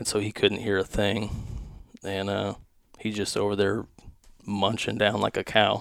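With vocal fry and a fairly low pitch, a man speaks in a monotone, flat way at a moderate pace, leaving long, frequent pauses. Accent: American. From US West Coast. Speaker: hunting content creator. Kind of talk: casual chat. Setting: studio.

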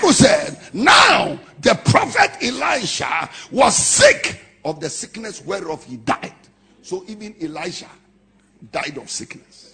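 A man with a Ghanaian accent, high pitch, very wide pitch swings and a very slow pace. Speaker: pastor. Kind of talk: impassioned Pentecostal sermon expounding scripture on humility. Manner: emphatic, declamatory preaching cadence; rhetorical, building points with punchy short sentences.

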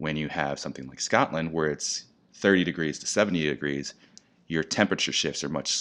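Against a quiet background, a man with vocal fry and a very deep, low pitch talks at a fairly quick pace with fairly even intonation. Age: 30s. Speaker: spirits brand educator. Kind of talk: casual interview.

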